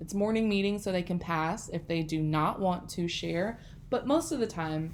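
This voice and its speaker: At a moderate pace, a woman uses a plain, everyday voice, fairly low in pitch with ordinary pitch variation. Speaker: elementary school teacher. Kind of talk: tutorial. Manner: casual, friendly.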